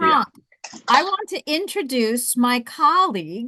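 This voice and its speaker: A woman's very slow, bright and sharp voice with very wide pitch swings, over a quiet background. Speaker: webinar host introducing a colleague.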